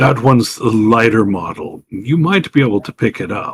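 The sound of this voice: Using a put-on character voice, a man speaks in a rumbling, medium pitch at a moderate pace.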